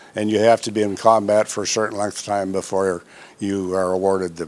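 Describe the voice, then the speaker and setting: A man's fairly low voice in a monotone, flat delivery, with music in the background. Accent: American. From South Dakota, US. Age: 90s. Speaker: war veteran. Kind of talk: interview. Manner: halting.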